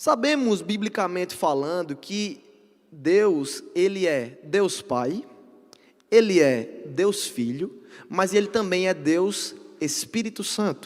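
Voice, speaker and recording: A man's high-pitched voice at a very slow pace, with very wide pitch swings. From Brazil, Northeast (Paraíba). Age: 20s. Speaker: preacher. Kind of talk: sermon. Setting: church service with congregation.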